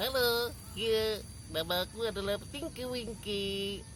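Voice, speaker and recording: Using a put-on character voice, a woman speaks at a fairly slow pace against clear background noise. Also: fairly high pitch for a woman. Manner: playful character voice.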